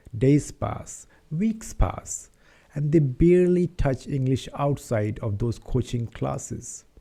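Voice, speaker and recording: With an Indian accent, a man speaks at a very slow pace in a dark, mellow, somewhat breathy tone, his medium pitch carried by lively intonation. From India, Patna, Bihar. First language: Hindi. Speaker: English-speaking YouTuber. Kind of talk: casual talk to camera, personal story.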